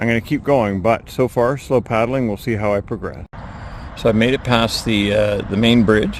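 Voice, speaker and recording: Noticeable background noise sits under this recording. A man speaks at a moderate pace and medium pitch with fairly even intonation. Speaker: outdoor vlogger, paddler. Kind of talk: casual outdoor vlog narration. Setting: outdoors on a creek. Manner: quiet, hushed.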